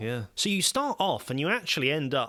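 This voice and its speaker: This very clean recording has a silent background. A man speaks in a bright, sharp tone. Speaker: podcast host. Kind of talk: interview questions.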